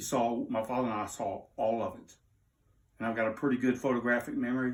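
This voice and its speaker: A man with a Southern US accent, medium in pitch and fairly quick in pace, on a very clean recording with a silent background. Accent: Southern US (Georgia). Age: 60s. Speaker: interviewee telling personal story. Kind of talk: unscripted personal appeal. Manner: emotional, agitated.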